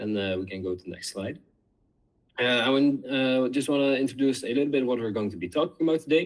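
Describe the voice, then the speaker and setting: The intonation is lively. The pace is very fast. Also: man, medium pitch for a man. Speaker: student competition winner. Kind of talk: presentation. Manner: halting, many fillers.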